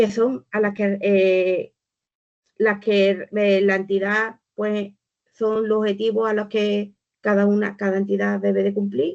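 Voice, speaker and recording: The speech moves at a very slow pace with very even loudness. Its intonation is monotone and flat. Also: woman, medium pitch for a woman. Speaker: volunteering organization speaker. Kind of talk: webinar presentation.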